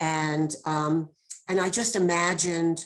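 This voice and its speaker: This woman has a very deep, low pitch. Her intonation stays fairly even. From New York. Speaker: poet. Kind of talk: poetry reading.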